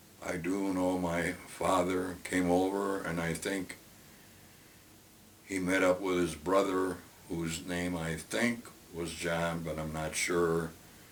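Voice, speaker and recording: With an American accent, a man with a very deep, low voice speaks at a very slow pace in a monotone, flat intonation, with audible room echo. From Brooklyn, New York. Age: 80s+. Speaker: retiree telling life story. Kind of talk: oral history interview. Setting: at home. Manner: halting with many fillers.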